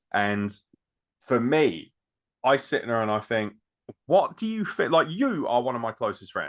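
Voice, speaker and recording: A man speaks fairly slowly at a medium pitch, with very wide pitch swings. Long, frequent pauses break up his speech. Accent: English. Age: 30s. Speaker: podcast host. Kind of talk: casual chat.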